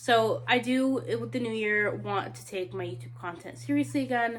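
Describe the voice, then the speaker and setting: A somewhat breathy woman talks at a moderate pace with very wide pitch swings. Audible room echo surrounds her voice. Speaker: book content creator. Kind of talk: casual vlog talk to camera.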